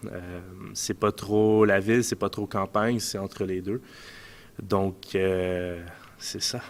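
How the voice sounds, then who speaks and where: A man with a Quebec accent speaks at a very slow pace. His pitch is fairly low, and his intonation is monotone and flat. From Quebec, Montreal suburbs. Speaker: ice hockey player. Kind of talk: casual interview. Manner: hesitant, many fillers.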